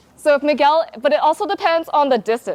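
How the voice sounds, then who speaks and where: A woman's very fast speech, dry and close with no echo. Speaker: self-defense instructor. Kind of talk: instruction class.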